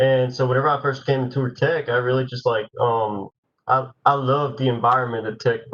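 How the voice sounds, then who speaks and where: The man's medium-pitched voice runs in a monotone with flat intonation. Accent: Spanish. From Nicaragua. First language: Spanish. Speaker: university student. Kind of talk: panel Q&A.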